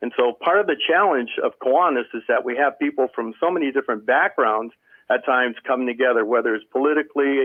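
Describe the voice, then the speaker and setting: Speaking at a very fast pace with an American accent, the man uses ordinary pitch variation. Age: 60s. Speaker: service club member. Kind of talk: panel discussion.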